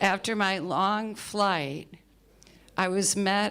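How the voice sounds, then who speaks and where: A woman with an American accent speaks at a very slow pace. The recording is very clean, with a silent background. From New York, US. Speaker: spiritual writer and editor. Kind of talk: personal talk to an audience.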